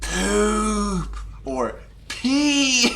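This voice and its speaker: Clear background noise accompanies a put-on character voice. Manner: whispering, ghostly.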